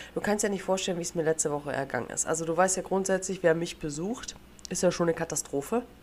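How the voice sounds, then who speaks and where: A woman with a fairly low pitch and ordinary pitch variation speaks at a very fast pace. Noticeable background noise runs behind her. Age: young. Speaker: podcast host. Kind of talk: casual chat.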